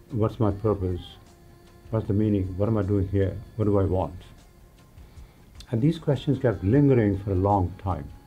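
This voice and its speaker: Over music in the background, a man talks at a very even loudness with ordinary pitch variation and long, frequent pauses. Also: fairly low pitch for a man, moderate pace. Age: 80s+. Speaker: yoga teacher. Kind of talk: interview answer.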